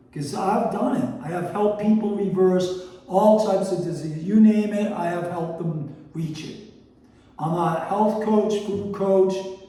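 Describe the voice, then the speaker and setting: A man's high voice at a fairly slow pace with fairly even intonation, amid noticeable background noise and audible room echo. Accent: American. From Boston, US. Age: 60s. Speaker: health and food coach. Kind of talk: casual cooking show monologue. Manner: casual, conversational.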